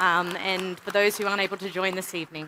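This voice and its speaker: Amid noticeable background noise, a woman talks at a very fast pace. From Australia. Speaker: payments industry executive, keynote speaker. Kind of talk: conference keynote speech. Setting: stage with audience at a summit. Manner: some hesitations and fillers.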